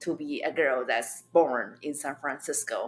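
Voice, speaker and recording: A woman talks with a Chinese accent. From China. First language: Mandarin Chinese. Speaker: stand-up comedian. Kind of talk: interview. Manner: animated.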